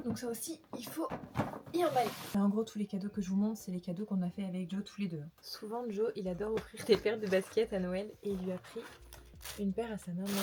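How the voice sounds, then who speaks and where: There is noticeable background noise. Over it, a woman talks at a fairly quick pace. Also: medium pitch for a woman, ordinary pitch variation. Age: 20s. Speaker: lifestyle vlogger. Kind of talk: casual vlog haul. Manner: casual, filler-heavy; whispering at times.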